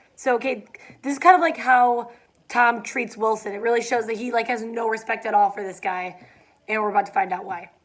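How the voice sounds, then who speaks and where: A woman does a put-on character voice, raspy and fairly high-pitched, moving at a fairly quick pace. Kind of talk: casual student read-aloud with commentary. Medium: read story. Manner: casual, conversational asides.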